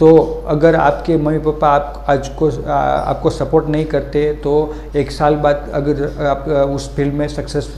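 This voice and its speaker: There is audible room echo along with noticeable background noise. Through it, a man's voice comes across. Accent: Gujarati. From Gujarat, India (Vadodara). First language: Gujarati (speaking Hindi). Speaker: motivational video creator. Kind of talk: motivational talk. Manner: halting, many fillers.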